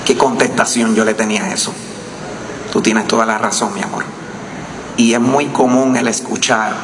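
A man at a moderate pace with fairly even intonation, noticeable background noise around him. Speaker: husband of the deceased journalist. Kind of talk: eulogy speech. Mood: grieving, solemn, tender. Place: hall. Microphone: podium.

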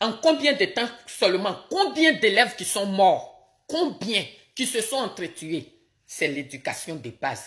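Woman with vocal fry, a fairly high pitch and very wide pitch swings at a very slow pace, over a quiet background. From Côte d'Ivoire. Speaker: political commentator. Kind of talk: live-stream political commentary. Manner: animated. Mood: indignant, critical. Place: home room. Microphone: phone near.

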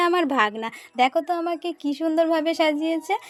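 Noticeable background noise sits behind a woman whose pitch is extremely high and varies in an ordinary way. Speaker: vlogger. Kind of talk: casual vlog narration. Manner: animated.

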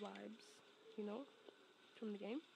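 There is noticeable background noise throughout. Through it comes a woman's voice. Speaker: ASMR roleplay creator. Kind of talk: ASMR girlfriend roleplay. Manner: soft, affectionate, teasing.

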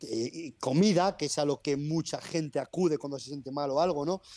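At a moderate pace, a man speaks in a fairly high pitch with a dark, mellow tone and ordinary pitch variation over a quiet background. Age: 30s. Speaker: personal trainer. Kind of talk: interview. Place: home room. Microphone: earbuds.

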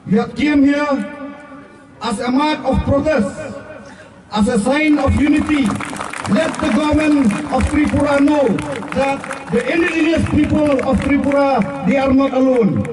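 Against crowd noise in the background, a man with an extremely high voice talks at a moderate pace and very even loudness, leaving long, frequent pauses. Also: fairly even intonation. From Meghalaya. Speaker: rally speaker. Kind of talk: rally speech. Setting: rally with crowd. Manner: formal; earnest. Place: stadium.

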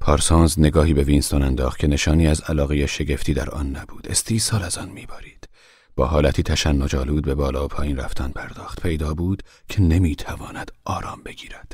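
A man's very deep, low voice with vocal fry, fairly even intonation and a very fast pace. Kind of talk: audiobook narration, literary reading aloud of a translated novel. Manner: steady, formal, even literary delivery; solemn, measured pace.

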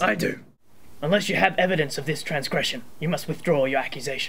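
A man's put-on character voice, fairly high in pitch and delivered at a very fast pace. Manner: formal, know-it-all.

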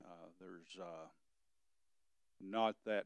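Against a quiet background, a man's voice comes through dry, with no echo. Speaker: EMS director giving report. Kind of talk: meeting report. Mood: concerned, frustrated. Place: hall.

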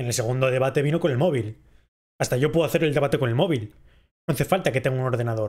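Against a quiet background, a man talks very fast in a fairly high pitch and a dark, mellow tone, with ordinary pitch variation. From Spain. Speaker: streamer. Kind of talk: livestream reaction chat. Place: home room.

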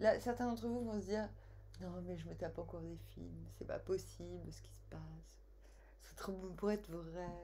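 Amid light background noise, a woman speaks at a moderate pace with long, frequent pauses and big swings in loudness. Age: 40s. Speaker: tarot card reader; tarot reader vlogger. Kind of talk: casual personal storytelling; tarot reading monologue. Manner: animated; hesitant with fillers. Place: home room. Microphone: webcam.

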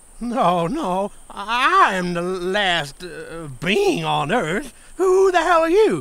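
A cartoonish character voice sits at a fairly high pitch. It moves at a very slow pace with hardly any pauses. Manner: angry, shouting.

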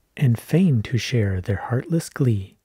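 A man with a medium-pitched voice speaks calmly at a very slow pace, his dark, mellow tone somewhat breathy and his pitch swinging very widely. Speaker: ASMR creator. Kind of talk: gentle ASMR reading aloud of short classic poems. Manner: soft-spoken, hushed and close, calm unhurried pacing; measured, lilting delivery following the verse rhythm.

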